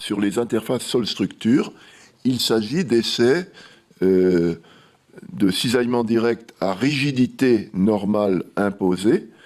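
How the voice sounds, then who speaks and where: A man of medium pitch talks at a very slow pace with lively intonation and long, frequent pauses. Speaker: researcher presenting lab results. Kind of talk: conference presentation. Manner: halting, many hesitations.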